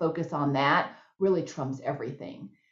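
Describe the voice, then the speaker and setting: A woman talks in a Texan accent with ordinary pitch variation. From Texas. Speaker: nonprofit CEO. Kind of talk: interview Q&A.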